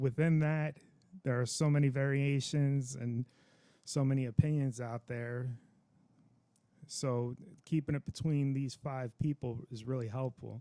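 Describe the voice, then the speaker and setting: Slow and flat, a man speaks in a dark, mellow tone with monotone intonation. Long pauses come often between his fairly slow phrases. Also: medium pitch for a man. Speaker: veteran, religious teacher. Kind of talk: casual talk to camera.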